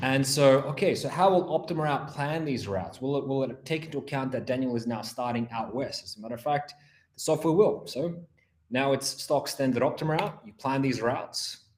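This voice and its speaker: A man with an Australian accent and a fairly high pitch, at a fairly quick pace with ordinary pitch variation. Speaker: implementation engineer. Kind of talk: software webinar demo. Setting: online webinar.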